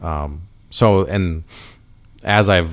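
In an American accent, a man talks with fairly even intonation. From US Midwest, Minnesota. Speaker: police officer and podcast host. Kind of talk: casual chat.

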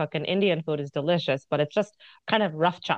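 An unremarkable speaking voice: a woman with an American accent, fairly low in pitch, with fairly even intonation. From United States. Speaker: cookbook author and food influencer. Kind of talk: casual interview chat.

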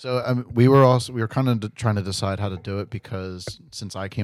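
In a dry, close recording with no echo, a man with an unremarkable speaking voice talks at a moderate pace with fairly even intonation. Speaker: podcast co-host. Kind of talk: casual chat. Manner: laid-back, joking.

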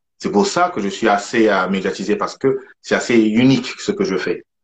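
A plain, everyday voice moves at a moderate pace with lively intonation. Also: man. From southern France, Toulouse. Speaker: chef. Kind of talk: casual chat.

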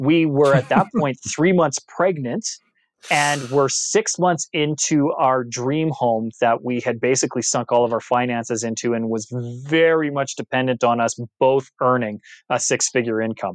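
With an ordinary speaking voice, a man speaks at a moderate pace and medium pitch, his pitch varying in an ordinary way. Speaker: actor and speaking coach, author. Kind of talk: interview, casual chat.

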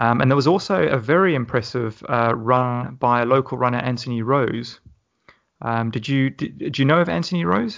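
Speaking with an English accent, a man keeps a moderate pace. His medium-pitched voice carries lively intonation. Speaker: podcast host. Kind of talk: casual interview.

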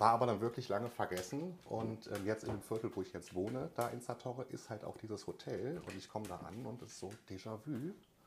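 A man with a medium-pitched, somewhat breathy voice speaks with hardly any pauses and ordinary pitch variation. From Germany, Cologne-Düsseldorf area. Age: 30s. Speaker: emigrant telling his story. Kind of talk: casual interview.

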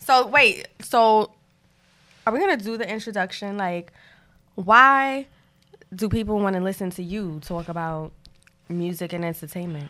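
With a Brooklyn accent, a woman at medium pitch speaks in a bright, sharp tone at a moderate pace, her loudness swinging widely and her pitch varying in an ordinary way, broken by long, frequent pauses. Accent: New York (Brooklyn). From Brooklyn, New York. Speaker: podcast co-host, music fan and former rapper. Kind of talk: casual chat.

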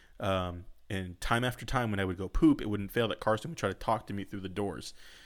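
A man's ordinary speaking voice with an American accent, fairly low in pitch and fairly quick, on a very clean recording with a silent background. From Southern California. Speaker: podcast host. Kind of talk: casual chat.

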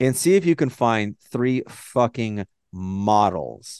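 Fairly slow, animated male speech in an American accent, with very wide pitch swings, a dry, close sound with no echo and a quiet background. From Texas. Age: 30s. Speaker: podcast host. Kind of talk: casual chat.

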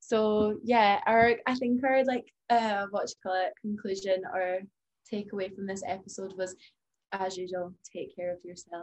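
A woman's medium-pitched, plain, everyday voice at a fairly slow pace, with fairly even intonation. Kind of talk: casual chat.

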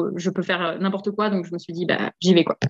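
A woman speaks at a medium pitch. Her tone is energetic. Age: 30s. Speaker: physiotherapist and property investor. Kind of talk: interview.

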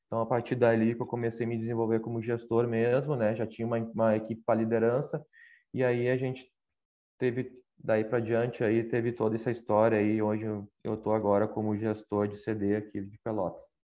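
This man has a medium pitch and a fairly quick pace. His intonation is monotone and flat. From southern Brazil, Canoas (Rio Grande do Sul). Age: 30s. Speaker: operations executive. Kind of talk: interview.

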